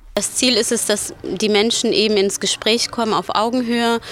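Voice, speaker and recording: Over music in the background, a woman speaks at a fairly high pitch and a moderate pace with fairly even intonation. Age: 20s. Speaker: student organizer. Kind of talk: interview soundbite.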